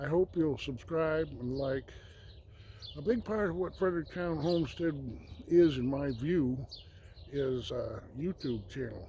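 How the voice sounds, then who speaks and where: The voice is somewhat breathy, with a dark, mellow tone. It moves at a fairly slow pace with lively intonation. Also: man. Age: 60s. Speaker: homesteader and vlogger. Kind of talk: casual vlog talk to camera. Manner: halting, many fillers.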